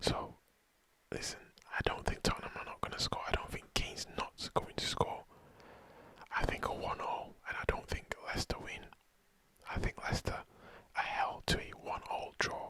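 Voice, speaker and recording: A man whispers at a moderate pace with long, frequent pauses over noticeable background noise. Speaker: football commentator / ASMR content creator. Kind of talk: football match preview, ASMR style. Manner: whispered, soft-spoken.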